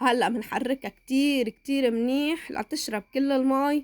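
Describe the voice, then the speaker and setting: A woman with a Lebanese accent, high-pitched, at a very slow pace and with ordinary pitch variation. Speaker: cooking channel host. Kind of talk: cooking tutorial. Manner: halting.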